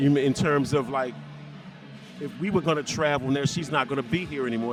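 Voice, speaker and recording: With music in the background, a man speaks at a fairly high pitch. His pitch variation is ordinary. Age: 60s. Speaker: widower. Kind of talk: street interview answer.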